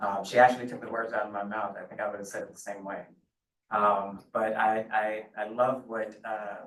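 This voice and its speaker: Male speaker with an American accent, fairly low in pitch, monotone and flat, at a moderate pace with big swings in loudness. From US South, Beaufort, South Carolina. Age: 60s. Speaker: task force applicant. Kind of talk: public meeting statement. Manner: halting, many fillers and repeats.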